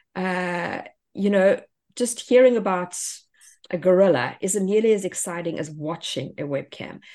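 Against a quiet background, a woman speaks at a medium pitch with ordinary pitch variation and a dark, mellow tone. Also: moderate pace. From South Africa. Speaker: homeschool educator and podcaster. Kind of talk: interview.

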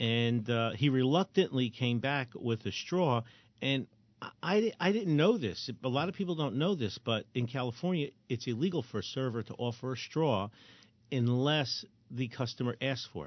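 With an American accent, a man talks in a normal speaking voice at medium pitch, moderate pace and lively intonation. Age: 60s. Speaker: firearms trainer and radio host. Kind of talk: casual chat.

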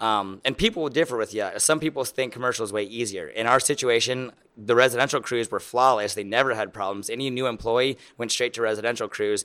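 A man with an American accent talks at a very fast pace with hardly any pauses, his tone bright and sharp and his intonation fairly even. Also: medium pitch for a man, very clean recording, silent background. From Lincoln, Nebraska. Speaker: lawn care business owner. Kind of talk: interview.

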